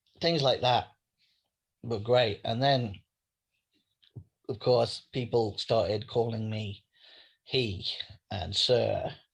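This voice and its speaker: Against a quiet background, a man speaks at a very slow pace with long, frequent pauses. His voice is somewhat breathy and medium in pitch, with ordinary pitch variation. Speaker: writer. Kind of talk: interview.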